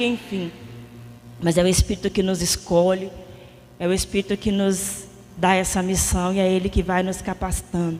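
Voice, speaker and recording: Soft-spoken, a woman talks at a fairly quick pace. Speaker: lay preacher at a prayer group. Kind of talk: sermon. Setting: prayer meeting with audience, microphone.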